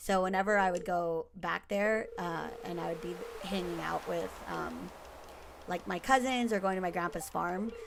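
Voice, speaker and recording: Over noticeable background noise, a woman talks at a moderate pace in an American accent. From United States, partly raised in the Philippines. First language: Tagalog. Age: 30s. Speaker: gaming streamer. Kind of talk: casual let's-play commentary. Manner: hesitant with many fillers.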